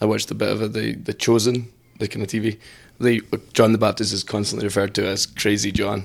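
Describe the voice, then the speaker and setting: Very fast, monotone, flat delivery from a man with a fairly low pitch and vocal fry. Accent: Scottish. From Scotland. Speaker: priest. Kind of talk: casual chat.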